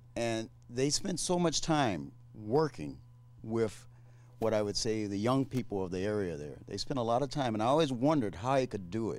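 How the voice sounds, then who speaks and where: Lively intonation and a moderate pace from a man at medium pitch in a normal speaking voice. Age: 60s. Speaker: community leader. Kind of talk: panel discussion.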